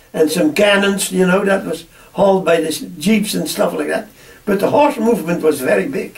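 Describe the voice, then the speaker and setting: Against noticeable background noise, a man with a high pitch speaks at a moderate pace, with ordinary pitch variation. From Netherlands. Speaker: farmer. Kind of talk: oral history interview. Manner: halting, many repetitions.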